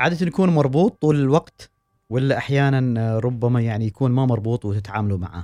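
A man with a normal speaking voice talks at a fairly quick pace and medium pitch, his intonation lively and the sound dry and close with no echo. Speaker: radio host. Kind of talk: radio interview.

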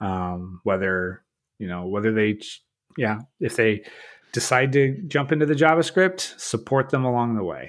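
At a moderate pace, a man talks at medium pitch with very wide pitch swings. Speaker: podcast host. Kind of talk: casual interview chat.

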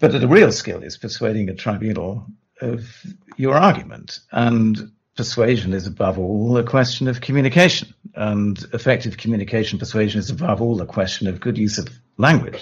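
This man's voice sits at a medium pitch and is somewhat breathy, with ordinary pitch variation and a moderate pace. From southern England. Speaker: lawyer. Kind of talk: interview. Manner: halting.

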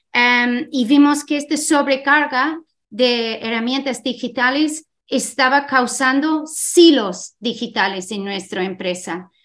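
A woman speaks very slowly in an English accent, her pitch high with ordinary variation. The recording is very clean, with a silent background. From Ireland. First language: English (speaking Spanish). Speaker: tech company co-founder and CEO. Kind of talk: interview. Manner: halting.

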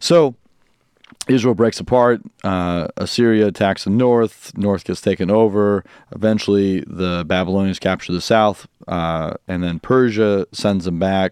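Against a quiet background, a man with an American accent talks at a fairly slow pace with fairly low pitch and ordinary pitch variation, the sound dry and close with no echo. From US Midwest, Quad Cities. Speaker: pastor and Bible teacher. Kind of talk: casual interview with teaching.

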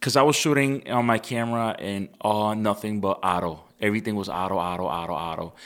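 A plain, everyday voice from a man, fairly low in pitch, at a fairly quick pace with hardly any pauses and ordinary pitch variation, on a very clean recording with a silent background. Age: 30s. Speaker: photographer. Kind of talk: casual chat.

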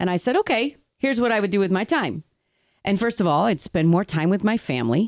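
In a very clean recording with a silent background, a woman with a medium-pitched voice speaks at a fairly quick pace, animated and with lively intonation. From Italian-American heritage. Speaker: podcast co-host. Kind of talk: casual chat. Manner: animated, talks with hands.

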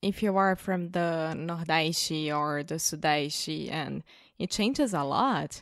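A woman with a Brazilian accent speaks very slowly at a fairly low pitch with ordinary pitch variation. The recording is very clean, with a silent background. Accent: mild Brazilian Portuguese-accented English. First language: Portuguese. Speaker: co-presenter of English-learning podcast. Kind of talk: casual chat.

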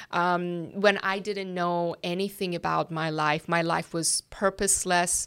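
A woman speaks with a slight Persian accent at a fairly slow pace, her fairly low pitch held in a monotone, flat intonation, on a very clean recording with a silent background. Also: hardly any pauses. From Iran. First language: Persian (Farsi). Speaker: ministry worker. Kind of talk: interview. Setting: office.

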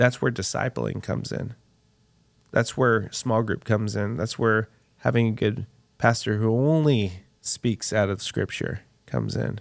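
On a very clean recording with a silent background, a man with an unremarkable speaking voice talks fairly slowly, his fairly low pitch showing ordinary variation. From Texas. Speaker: pitmaster and restaurant owner. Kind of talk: interview, faith testimony.

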